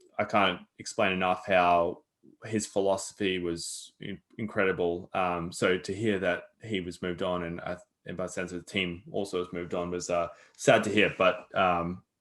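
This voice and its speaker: A man speaks with a very deep, low pitch and an Australian accent. His flat, monotone delivery keeps a moderate pace against a quiet background. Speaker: podcast host. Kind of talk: interview.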